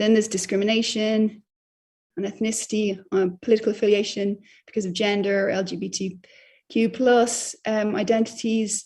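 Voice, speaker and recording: A woman speaks at a moderate pace in an Irish accent. Her voice is medium in pitch and somewhat breathy. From Ireland. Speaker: journalist. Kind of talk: lecture. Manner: hesitant with many fillers.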